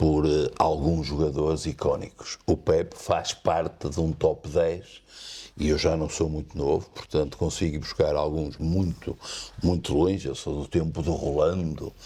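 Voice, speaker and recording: At a fairly slow pace, a man speaks with a very deep, low pitch, a dark, mellow tone and monotone, flat intonation. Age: 60s. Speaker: lawyer and football commentator. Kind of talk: interview.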